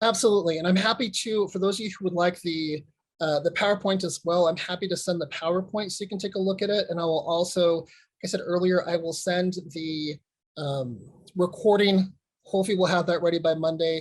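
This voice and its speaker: A man talks at a very fast pace in a high pitch. His intonation stays fairly even. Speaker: court program manager. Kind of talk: webinar presentation and Q&A.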